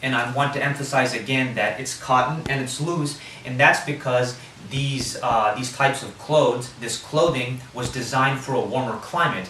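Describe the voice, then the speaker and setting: A man with an American accent speaks at a medium pitch and a moderate pace. Audible room echo and noticeable background noise surround him. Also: fairly even intonation. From US, Washington DC area. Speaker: interviewee. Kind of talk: interview. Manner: hesitant, many fillers.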